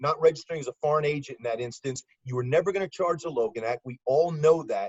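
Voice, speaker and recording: This voice has a New York accent and an animated tone at a fairly quick pace. It is somewhat breathy, with ordinary pitch variation. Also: man. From US South (Birmingham, Alabama). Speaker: former FBI agent and law enforcement analyst. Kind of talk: podcast interview. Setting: video call.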